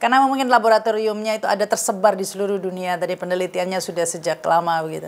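With hardly any pauses, a woman speaks at a very fast pace with ordinary pitch variation. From Indonesia. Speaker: news talk show host. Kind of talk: interview. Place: home room.

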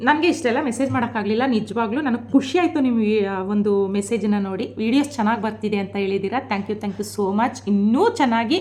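Over noticeable background noise, a woman speaks in an animated tone, fairly high-pitched, with ordinary pitch variation. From rural Mysore region, Karnataka. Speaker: vlogger. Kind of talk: vlog monologue.

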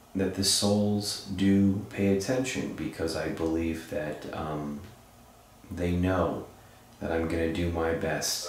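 A man speaks with a very deep, low pitch and ordinary pitch variation. Strong room echo fills the recording. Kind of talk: spoken address to spirits. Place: home room.

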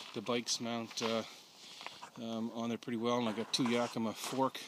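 The sound is dry, with no echo but noticeable background noise. A man speaks at a moderate pace. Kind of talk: casual walkaround commentary. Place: open country. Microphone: phone near.

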